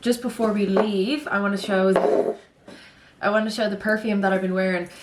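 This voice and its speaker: A woman talks fairly quickly at a medium pitch, her loudness very even, with noticeable background noise. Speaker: lifestyle vlogger. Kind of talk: casual vlog chat. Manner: fast; animated.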